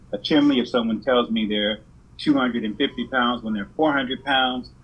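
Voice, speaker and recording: With an American accent, a man speaks in an unremarkable speaking voice at a medium pitch and with fairly even intonation. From California. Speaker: insurance agent. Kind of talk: interview.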